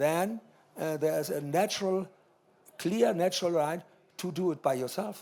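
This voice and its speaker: A man with a German accent, a high pitch, a dark, mellow tone, and long, frequent pauses. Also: ordinary pitch variation, moderate pace. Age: 80s+. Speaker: art collector. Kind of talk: panel discussion. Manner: halting.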